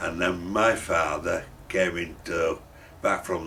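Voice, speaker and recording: Speaking in a Yorkshire accent, a man talks at a very slow pace with a very deep, low pitch. Noticeable background noise sits behind him. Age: 70s. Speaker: furniture shop owner. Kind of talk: interview. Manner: halting.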